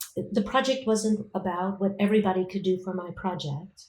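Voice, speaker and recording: A woman with an American accent, dark and mellow in tone, at a medium pitch with fairly even intonation. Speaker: professor. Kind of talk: interview.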